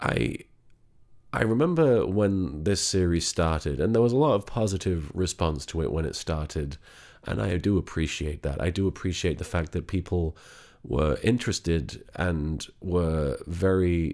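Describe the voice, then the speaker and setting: Quiet and at a moderate pace, a man with a very deep, low pitch speaks with ordinary pitch variation. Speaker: online content creator / comedy voice actor. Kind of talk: personal vlog. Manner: speaking quietly; halting, many fillers and repetitions.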